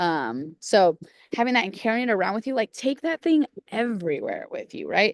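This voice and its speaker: Recorded dry and close with no echo, a woman speaks at a fairly high pitch with very wide pitch swings. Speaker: nutrition coach. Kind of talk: group coaching call. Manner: fast; casual, chatty.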